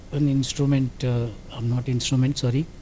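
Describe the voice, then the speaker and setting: In an Indian accent, a man talks at a fairly quick pace. His tone is dark and mellow, and somewhat breathy. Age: 80s+. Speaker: industrial safety officer. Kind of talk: interview answer.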